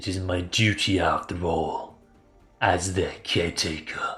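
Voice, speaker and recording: Over faint music in the background, a man uses a put-on character voice with a very deep, low pitch at a fairly slow pace. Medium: read story. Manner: slow, formal, softly spoken.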